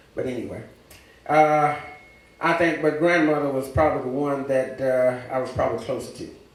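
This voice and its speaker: An American accent with audible room echo. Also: man. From Louisiana. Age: 70s. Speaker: church member, teacher and preacher. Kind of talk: testimony. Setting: church service.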